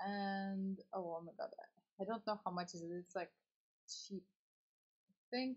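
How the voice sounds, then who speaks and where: A woman with a non-native accent speaks at a fairly slow pace, leaving long, frequent pauses. Her medium-pitched voice is somewhat breathy, with ordinary pitch variation. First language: not English. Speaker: streamer and teacher. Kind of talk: casual chat. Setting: live stream. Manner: halting.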